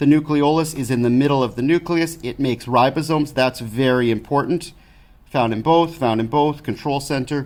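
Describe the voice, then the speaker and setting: This man speaks at a fairly quick pace and a fairly high pitch. His intonation is fairly even. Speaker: science teacher. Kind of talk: tutorial. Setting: recorded lesson video with document camera. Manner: fast.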